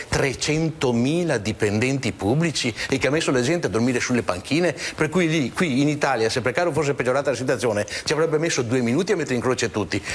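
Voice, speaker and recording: Over noticeable background noise, a man at medium pitch talks very fast in an animated tone with lively intonation. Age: 60s. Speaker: regional political activist. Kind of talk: TV talk show discussion. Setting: TV studio.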